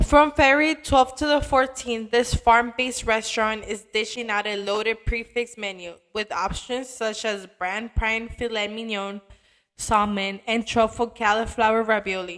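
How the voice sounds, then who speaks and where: At a fairly slow pace, a woman with a fairly high pitch speaks with ordinary pitch variation. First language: not Italian. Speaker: travel and food video narrator. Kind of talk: scripted narration.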